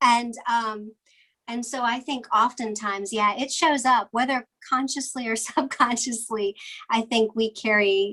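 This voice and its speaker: With a Virginia accent, a woman speaks in a fairly high voice with a bright, sharp tone. She keeps to a fairly slow pace. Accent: Southern US (Virginia). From US South, Blue Ridge Mountains of Virginia. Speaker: fabric designer. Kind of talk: interview conversation. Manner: hesitant, many fillers.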